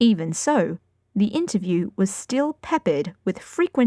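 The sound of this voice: Quiet background behind an unforced reading voice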